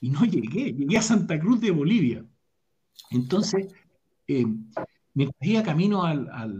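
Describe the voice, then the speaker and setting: Audible room echo surrounds a man with a high-pitched, dark, mellow voice who speaks fairly slowly with very wide pitch swings. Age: 40s. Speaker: leadership speaker and academic. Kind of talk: casual interview over live stream.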